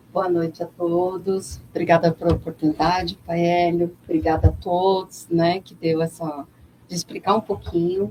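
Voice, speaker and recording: In a plain, everyday voice, a woman speaks at a fairly slow pace with fairly low pitch, fairly even intonation and big swings in loudness. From São Paulo, Brazil. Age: 40s. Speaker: NGO president and religious leader. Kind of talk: radio interview.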